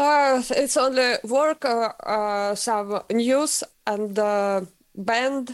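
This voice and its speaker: A woman with a Russian accent speaks very slowly in a high voice, her pitch varying in an ordinary way and her loudness staying very even. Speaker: metal vocalist and vocal teacher. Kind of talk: interview. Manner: halting.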